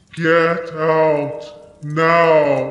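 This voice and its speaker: A put-on character voice at a middle pitch. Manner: menacing, commanding.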